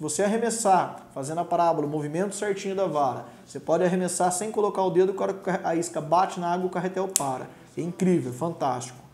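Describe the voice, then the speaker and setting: A man talks at a very fast pace and high pitch, with ordinary pitch variation. Audible room echo fills the recording. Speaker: presenter. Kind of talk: tutorial. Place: studio.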